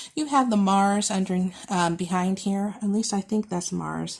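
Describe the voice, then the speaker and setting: A somewhat breathy woman at a medium pitch and a moderate pace, on a very clean recording with a silent background. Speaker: tarot reader. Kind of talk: pick-a-card tarot reading.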